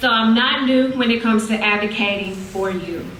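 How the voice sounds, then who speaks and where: Lively intonation marks a woman's fairly high voice at a fairly slow pace. Audible room echo and noticeable background noise accompany her. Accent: Southern US. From Mississippi. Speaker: city council candidate. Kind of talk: campaign speech.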